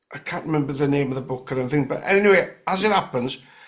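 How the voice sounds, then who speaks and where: A man speaks in a North Welsh accent. His pitch is fairly high. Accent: North Walian. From North West Wales, Gwynedd. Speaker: guest sharing paranormal experiences. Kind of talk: casual interview chat. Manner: halting, many fillers and restarts.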